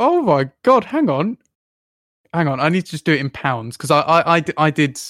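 The sound of a man speaking at a moderate pace is dry and close, with no echo. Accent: English. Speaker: podcast host. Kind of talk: casual chat. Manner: animated.

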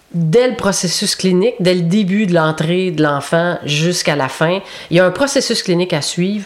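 Behind noticeable background noise, a speaker with a Quebec accent talks at a fairly slow pace with ordinary pitch variation. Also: woman. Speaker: youth protection clinical counsellor. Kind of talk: interview.

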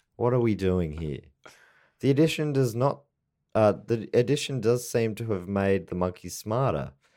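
The voice has a dark, mellow tone and an Australian accent. The recording is very clean, with a silent background. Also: man, fairly low pitch for a man, lively intonation, moderate pace. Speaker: comedy podcast host. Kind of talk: casual chat.

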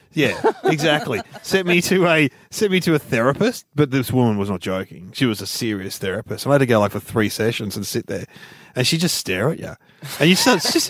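Recorded very cleanly against a silent background, a man with an Australian accent speaks at medium pitch with very wide pitch swings. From Melbourne, Australia (Ringwood). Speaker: comedian. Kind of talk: casual chat.

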